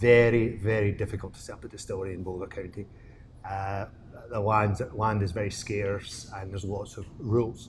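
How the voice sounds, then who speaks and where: A man with a Scottish accent, fairly low in pitch and somewhat breathy, at a moderate pace, with monotone, flat intonation and big swings in loudness. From Scotland, Glasgow. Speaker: distillery co-owner. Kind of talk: casual interview. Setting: distillery.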